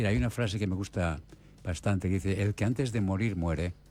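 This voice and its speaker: With music playing in the background, a man speaks at a fairly low pitch with ordinary pitch variation. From Spain. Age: 70s. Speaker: palliative care doctor. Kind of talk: radio interview.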